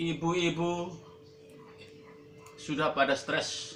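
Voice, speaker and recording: A man talks in a fairly high voice. Behind him, music plays. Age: 70s. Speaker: motorcycle taxi driver. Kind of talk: public appeal monologue. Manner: formal.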